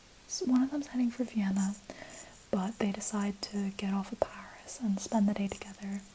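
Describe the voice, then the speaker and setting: Against noticeable background noise, a soft-spoken woman is whispering. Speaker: ASMR creator. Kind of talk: casual whispered ramble to camera. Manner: soft-spoken, whispered.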